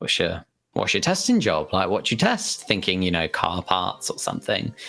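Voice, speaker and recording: Speaking at a moderate pace, a man talks with a British accent. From southern England, Hampshire. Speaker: games community manager. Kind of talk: interview. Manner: halting, many fillers and repeats.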